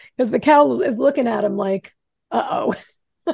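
A woman with an American accent, fairly high pitch, very wide pitch swings, vocal fry, and a dark, mellow tone at a fairly slow pace. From Rockland County, New York. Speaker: podcast co-host. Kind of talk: casual chat.

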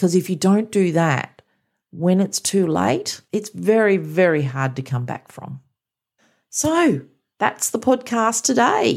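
This woman speaks at a very slow pace with an Australian accent. Her pitch sits in the medium range but makes very wide swings. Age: 50s. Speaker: mindset coach. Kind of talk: motivational monologue.

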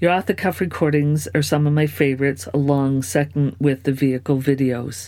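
A woman with a very deep, low voice talks at a fairly quick pace with hardly any pauses, very even loudness, lively intonation, and a tone that is warm and upbeat as well as dark and mellow. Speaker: podcast host and creator. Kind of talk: solo Q&A podcast episode. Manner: warm, upbeat, enthusiastic.

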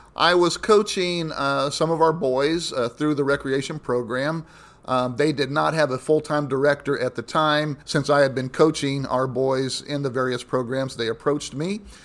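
A man speaks with a Midwestern American accent. His pace is moderate. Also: fairly high pitch for a man, ordinary pitch variation. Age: 60s. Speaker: pastor. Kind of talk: interview.

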